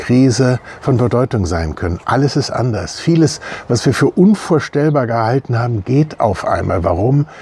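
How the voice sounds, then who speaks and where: Speaking at a fairly slow pace, a man uses lively intonation at a medium pitch, his tone dark and mellow and his voice somewhat breathy. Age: 60s. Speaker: church member. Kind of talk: video statement. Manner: hesitant with many fillers.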